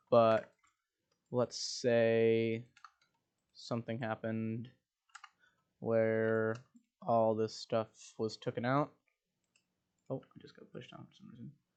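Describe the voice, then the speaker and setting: Mumbling at a medium pitch with fairly even intonation, a man speaks with long, frequent pauses and big swings in loudness. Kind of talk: gaming tutorial talk.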